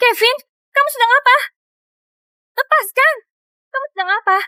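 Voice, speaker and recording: This woman's put-on character voice is squeaky and extremely high, delivered at a moderate pace. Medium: fan dub. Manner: sharp, impatient.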